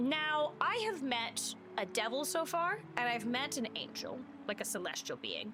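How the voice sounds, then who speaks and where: A woman speaks over noticeable background noise. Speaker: video game streamer. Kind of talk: live gameplay stream commentary. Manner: loud; animated.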